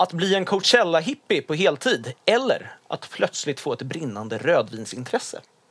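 The recording is dry and close, with no echo, as a man speaks at a moderate pace with hardly any pauses. His high voice swings very widely in pitch. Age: 20s. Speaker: podcast host. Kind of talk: casual chat.

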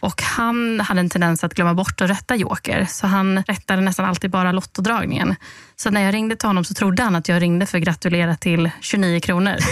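Speaking with an ordinary speaking voice, a woman keeps a medium pitch and a fairly quick pace. Her loudness is very even and her intonation fairly even. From Halmstad, Swedish west coast. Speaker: lottery winner communicator, former journalist. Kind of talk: podcast interview. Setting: studio.

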